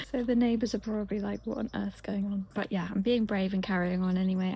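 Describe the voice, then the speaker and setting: A woman talks at a very fast pace with a medium pitch. Her voice is quiet. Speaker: lifestyle vlogger. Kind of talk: casual vlog talk. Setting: outdoors in garden. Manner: speaking quietly.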